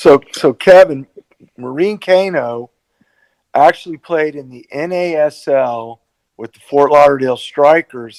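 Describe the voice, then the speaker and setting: A man with an ordinary speaking voice talks at a fairly slow pace, his pitch fairly high with ordinary variation. His loudness swings widely, and the sound is dry and close, with no echo. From South Florida, US. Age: 60s. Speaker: podcast co-host, former goalkeeper. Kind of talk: podcast interview.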